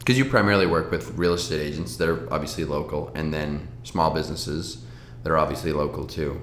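Vocal fry runs through very fast speech with lively intonation, audible room echo and light background noise. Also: man, very deep, low pitch for a man. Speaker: podcast host. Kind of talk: casual interview chat. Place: home room.

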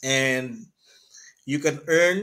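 A fairly high-pitched man talks with a quiet background behind him. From Philippines. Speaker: business presenter; presenter. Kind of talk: sales pitch. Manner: halting, many fillers. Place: home room. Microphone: webcam.

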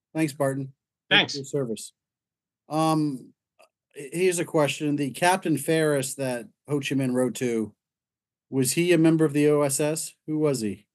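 Speaking at a moderate pace with long, frequent pauses, a man uses a fairly high pitch and ordinary pitch variation. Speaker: society board member hosting talk. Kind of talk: formal introduction. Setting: video call. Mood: polite, relaxed. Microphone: video call.

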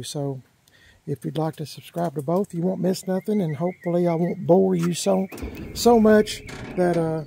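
Recorded dry with no echo, a man speaks at a moderate pace in a high-pitched voice with a dark, mellow tone and ordinary pitch variation. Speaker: car channel host. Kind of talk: casual vlog chat. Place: street. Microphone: phone near.

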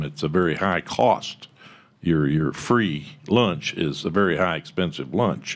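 Speaking with a Texan accent, a man with a very deep, low pitch shows ordinary pitch variation. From Texas. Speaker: tech company founder; conference panelist. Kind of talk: panel discussion. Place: meeting room. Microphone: podium.

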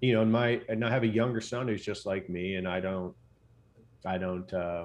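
Speaking at a fairly quick pace, a man with an American accent has a very deep, low pitch. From Texas, Katy near Houston; Texas. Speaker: physician and sleep expert, former Navy SEAL; interview guest. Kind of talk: casual interview chat. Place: home room. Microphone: studio mic.

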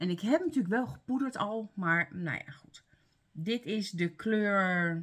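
At a very slow pace, a woman with a medium-pitched, somewhat breathy voice speaks with lively intonation. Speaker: beauty vlogger. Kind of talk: casual vlog, product review. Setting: home, talking to camera. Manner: casual, chatty, halting.

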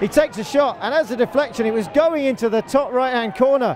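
A man's extremely high voice at a moderate pace, with ordinary pitch variation and noticeable background noise. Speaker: football commentator. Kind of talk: live football match commentary. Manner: clipped, breathless short phrases during attacks, calmer analysis after goals.

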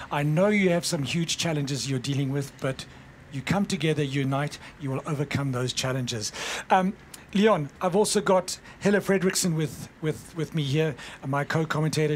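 Speaking with a South African accent, a man has a fairly high pitch and ordinary pitch variation. His pace is moderate. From South Africa, Cape Town. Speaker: sports commentator. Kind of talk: live commentary. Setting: outdoors at race, rain.

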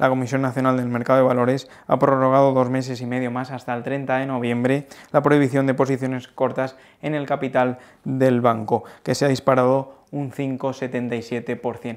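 Moderate pace from a man over a quiet background. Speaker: financial news presenter. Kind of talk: news reading. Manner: formal; brisk, even newsreader delivery. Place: office. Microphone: lapel.

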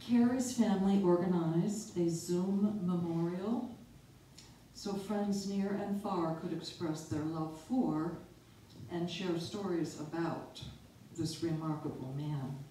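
Her pace is very slow and her pitch fairly low for a woman. Light background noise and audible room echo accompany her. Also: ordinary pitch variation. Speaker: presenter. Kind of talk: prepared talk. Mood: solemn, memorial tone. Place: hall.

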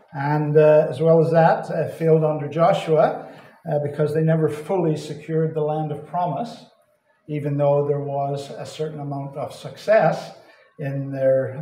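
Audible room echo follows a man's speech. He goes at a fairly slow pace with fairly even intonation. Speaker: visiting Bible teacher. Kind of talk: sermon. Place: hall.

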